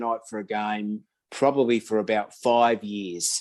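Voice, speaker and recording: A man speaks with an Australian accent. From Australia (Sydney, Blacktown). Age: 60s. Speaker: wargaming hobbyist. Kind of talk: casual interview chat.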